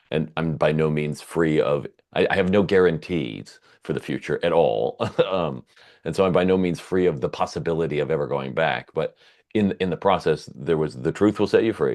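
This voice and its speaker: A man speaks with a very deep, low pitch and vocal fry. His pitch varies in an ordinary way over a quiet background. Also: moderate pace. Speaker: podcast host. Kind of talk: casual chat. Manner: loud.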